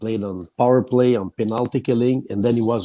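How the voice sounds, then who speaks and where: A man with a Quebec accent speaks at a moderate pace and medium pitch. His tone is dark and mellow, his intonation fairly even. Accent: French-Canadian accent in English. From Quebec, Shawinigan. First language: French. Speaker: hockey journalist. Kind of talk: casual chat. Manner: halting.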